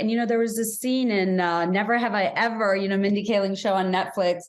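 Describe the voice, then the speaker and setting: Audible echo from the room hangs around the voice. The delivery runs fairly quick. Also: woman. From Bangladesh. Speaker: podcast host. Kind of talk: podcast interview. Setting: video call.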